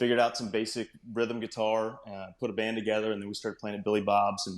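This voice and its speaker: A man with a Texan accent, fairly low-pitched and monotone, flat in intonation, in a very clean recording with a silent background. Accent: Texan (US Southern). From North Texas. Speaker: country singer-songwriter. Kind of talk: interview.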